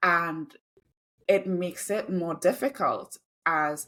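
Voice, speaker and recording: A woman with a Trinidadian accent and a medium pitch. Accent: noticeable Trinidadian. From Trinidad, then UK from age 12. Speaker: diversity, equity and inclusion consultant and copywriter. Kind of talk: interview conversation.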